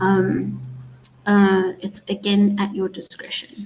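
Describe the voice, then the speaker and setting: This is a woman at a medium pitch, somewhat breathy. She speaks at a very slow pace. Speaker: placement coordinator for students. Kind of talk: online onboarding session with Q&A. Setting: video call with live stream. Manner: casual, conversational.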